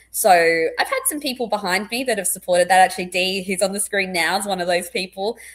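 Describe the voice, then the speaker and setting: A woman's very fast speech at medium pitch, with a slight Australian accent and fairly even intonation. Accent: slightly posh Australian. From Australia, born in England. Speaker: clinical psychologist. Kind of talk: casual interview chat. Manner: loud and intense.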